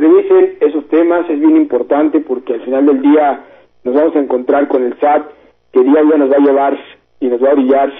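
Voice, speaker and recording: A man speaks with a Mexican accent at a fairly high pitch. His moderate-paced delivery is monotone, with flat intonation. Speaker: radio host, tax accountant. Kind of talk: call-in radio Q&A on taxes.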